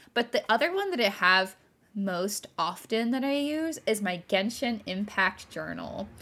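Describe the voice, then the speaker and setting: A woman with a General American accent and a plain, everyday voice speaks at a fairly slow pace. Her pitch is medium, and her intonation is lively. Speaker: podcast host, stationery streamer. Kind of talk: casual chat.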